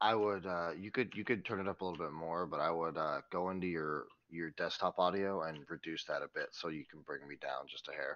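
A man speaks in a very deep, low voice. His pace is fairly quick against a quiet background. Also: ordinary pitch variation. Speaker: stream sound technician. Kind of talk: casual chat. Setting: remote audio via Discord. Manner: loud. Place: office. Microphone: headset.

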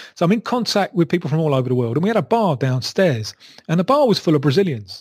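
This man speaks with a London accent. His pitch is fairly high. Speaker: football journalist. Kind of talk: interview answer. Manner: engaging.

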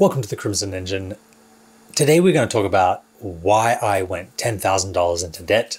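At a moderate pace, a man speaks in a somewhat breathy voice with fairly low pitch. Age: 40s. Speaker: filmmaker and YouTuber. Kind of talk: vlog monologue to camera. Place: studio.

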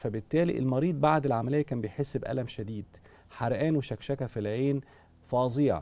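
Here a man talks at a fairly quick pace. His tone is dark and mellow, with ordinary pitch variation. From Egypt. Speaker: eye surgeon. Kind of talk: TV medical interview. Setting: studio. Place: studio. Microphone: lapel.

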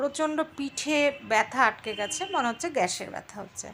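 A woman speaks in a raised, projected voice with a high pitch and lively intonation. Noticeable background noise sits behind her. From West Bengal, India (Siliguri). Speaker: lifestyle vlogger. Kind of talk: vlog voice-over narration. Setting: at home, lying in bed. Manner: halting.

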